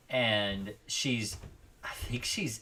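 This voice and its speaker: There is noticeable background noise behind this man. His voice is fairly low, with fairly even intonation. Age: 40s. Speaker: pest control expert, live show host. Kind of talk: live call-in show.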